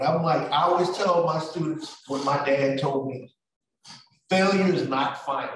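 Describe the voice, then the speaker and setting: A man's animated, energetic delivery at a moderate pace and fairly high pitch. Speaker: college professor. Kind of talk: animated presentation. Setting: campus event with audience.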